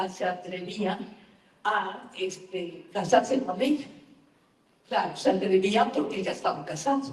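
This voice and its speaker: Amid noticeable background noise and audible room echo, a woman speaks at medium pitch and a fairly slow pace, with lively intonation and long, frequent pauses. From Mexico. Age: 80s+. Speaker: novelist. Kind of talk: book talk interview. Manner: halting with repetitions.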